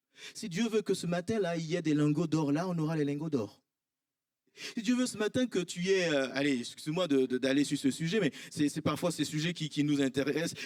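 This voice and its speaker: Lively intonation comes through at a moderate pace. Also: man. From Ivory Coast, Abidjan. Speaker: pastor. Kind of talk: sermon. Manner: animated.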